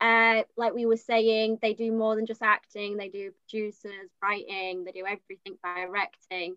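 Her bright, sharp tone at a fairly high pitch stays monotone and flat, as this woman speaks at a moderate pace in a dry, close sound with no echo. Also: big swings in loudness. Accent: Yorkshire. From Leeds, West Yorkshire. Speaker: drama student. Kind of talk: online panel discussion.

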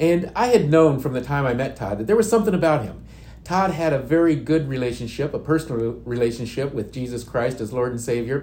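A man with an American accent talks at a fairly quick pace in a medium pitch, his dark, mellow tone somewhat breathy and his intonation lively, with audible room echo. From Indiana. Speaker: youth and outreach minister. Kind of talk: testimony.

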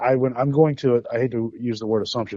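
A man with a normal speaking voice, medium pitch, fairly even intonation and a moderate pace. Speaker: caller. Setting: phone call.

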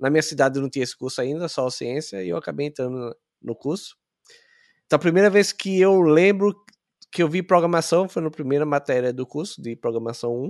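Against a quiet background, a man with an unremarkable speaking voice talks at a fairly quick pace, his fairly high pitch carrying lively intonation in a dry, close sound with no echo. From Brazil, Sergipe (Aracaju). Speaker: software engineer. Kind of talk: interview.

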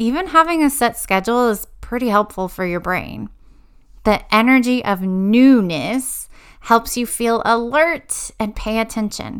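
In a plain, everyday voice, a woman talks fairly slowly with fairly high pitch and lively intonation on a very clean recording with a silent background. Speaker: educational podcast host and learning coach. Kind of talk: pep talk addressed to students. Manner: warm, encouraging, reassuring; conversational, storytelling, laughs.

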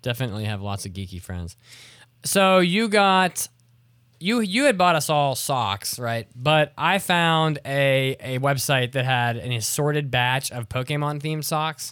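A man with an American accent speaks at a fairly slow pace, his fairly high pitch moving in very wide swings. The recording is very clean, with a silent background. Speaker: podcast host. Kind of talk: casual chat. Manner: animated.

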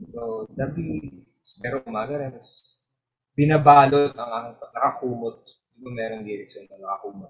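Here a man speaks with a Filipino accent. His pace is moderate, with ordinary pitch variation. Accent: Filipino English, Taglish. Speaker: indie musician and piano teacher. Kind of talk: casual interview, Taglish. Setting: podcast interview.

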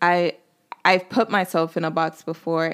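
A woman with an American accent, fairly low-pitched and at a fairly slow pace, on a very clean recording with a silent background. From North Carolina, Nigerian family. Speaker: podcast host, actor. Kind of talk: solo podcast intro monologue. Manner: animated, lots of filler words.

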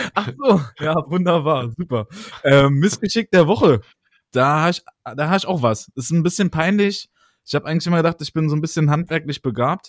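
With a plain, everyday voice, a man of fairly high pitch speaks at a moderate pace with lively intonation, sounding dry and close with no echo on a very clean recording with a silent background. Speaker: podcast co-host. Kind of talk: casual chat. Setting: recording from home. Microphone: new microphone.

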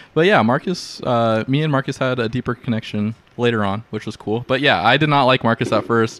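A man's medium-pitched, ordinary speaking voice at a fairly quick pace, with ordinary pitch variation, hardly any pauses, and a dry, close sound with no echo. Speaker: podcast co-host. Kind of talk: casual banter.

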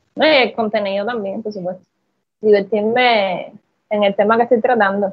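A woman at medium pitch speaks fairly slowly, her intonation fairly even. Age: 30s. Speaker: content creator. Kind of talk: interview.

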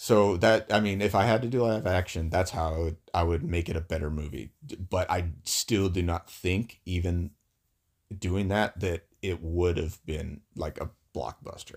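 Very deep and low, a man's somewhat breathy voice moves at a moderate pace with ordinary pitch variation in a very clean recording with a silent background. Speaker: podcast co-host.

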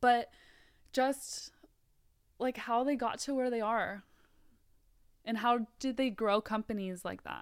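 A woman speaks at a fairly high pitch and a very slow pace, with long, frequent pauses. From US West Coast, Mountain View, California (born South Africa). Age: 20s. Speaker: nutrition coach and store manager. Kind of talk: casual chat.

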